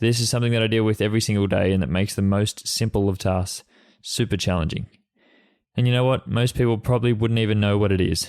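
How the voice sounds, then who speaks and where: A man with an Australian accent at a very fast pace, with fairly even intonation. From Australia, Sydney. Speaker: podcast host, freelance photographer. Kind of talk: solo podcast monologue. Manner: halting, with repetitions and fillers.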